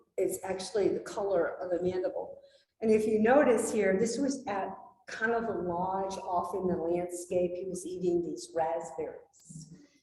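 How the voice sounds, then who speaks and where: Recorded with audible room echo, a woman speaks at a medium pitch and moderate pace with ordinary pitch variation. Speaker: wildlife biologist. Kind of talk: slide presentation talk. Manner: animated.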